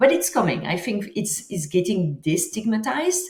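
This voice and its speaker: A woman speaks in a French accent. Her voice is somewhat breathy. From France. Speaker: author and psychedelics entrepreneur. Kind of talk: interview.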